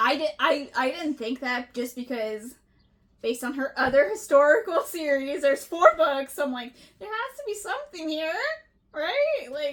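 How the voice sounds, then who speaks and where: At a moderate pace, a woman speaks in a high pitch with big swings in loudness. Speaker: book podcast co-host. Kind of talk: casual chat. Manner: animated, loud at times.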